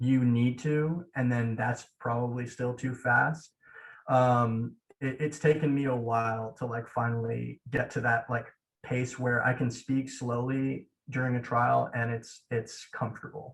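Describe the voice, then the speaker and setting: A man speaks at a fairly slow pace in a medium-pitched, somewhat breathy voice with flat, monotone intonation. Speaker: law student mock trial competitor. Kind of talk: casual interview chat.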